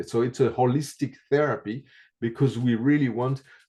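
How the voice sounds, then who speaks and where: A man with a non-native accent speaks at a moderate pace, his medium-pitched voice dark and mellow in tone. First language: not English. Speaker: reflexology teacher. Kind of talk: interview. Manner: halting, many fillers.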